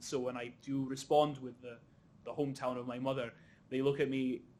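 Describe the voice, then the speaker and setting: A man talks at a fairly quick pace with a medium pitch. His intonation is monotone and flat, with a slight Scottish accent. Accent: slight Scottish, middle of the road. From Egypt, Cairo. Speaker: panel chair, curating student. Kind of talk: panel discussion.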